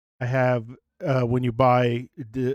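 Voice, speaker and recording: A soft-spoken man talks at a medium pitch. The recording is very clean, with a silent background. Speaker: game streamer. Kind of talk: live gameplay stream chat.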